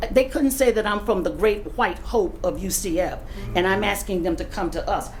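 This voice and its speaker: A woman with an American accent at a fairly high pitch and moderate pace, swinging very widely in pitch, with audible room echo and noticeable background noise. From US South, Leesburg, Florida. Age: 60s. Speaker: retired professor speaking at public comment. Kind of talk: public comment at city meeting. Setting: city commission meeting.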